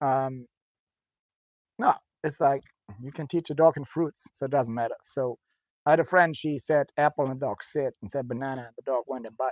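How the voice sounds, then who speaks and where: A man with a German accent and a fairly high pitch speaks at a moderate pace with fairly even intonation, long, frequent pauses and big swings in loudness, in a dry, close sound with no echo on a very clean recording with a silent background. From Germany. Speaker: dog trainer, former soldier. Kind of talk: casual chat.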